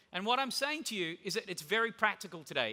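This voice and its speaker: Raising and projecting his high voice, a man with an Australian accent talks at a very fast pace in an energetic tone. His delivery is bright and sharp, with lively intonation. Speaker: conference keynote speaker. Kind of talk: conference keynote talk. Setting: stage with audience. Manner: casual.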